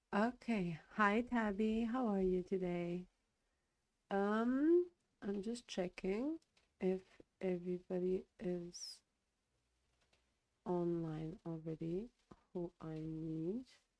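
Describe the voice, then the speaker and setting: A woman speaks very slowly in a medium pitch with ordinary pitch variation, leaving long, frequent pauses. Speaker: livestreamer. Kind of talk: casual chat. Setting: live stream.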